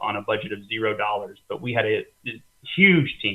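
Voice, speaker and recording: A man speaks with a Texan accent. His pitch sits in the medium range. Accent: Texan American English. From Texas. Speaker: family doctor. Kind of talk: interview.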